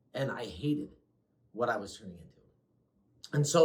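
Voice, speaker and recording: A man's voice at medium pitch. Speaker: former teacher, behavior specialist. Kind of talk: casual conversational reflection. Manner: loud.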